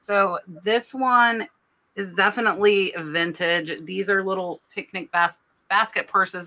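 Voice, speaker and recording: A woman with a medium pitch and a bright, sharp tone speaks at a fairly slow pace. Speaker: nurse and reseller, co-host. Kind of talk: casual chat. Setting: live stream, online. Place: home room.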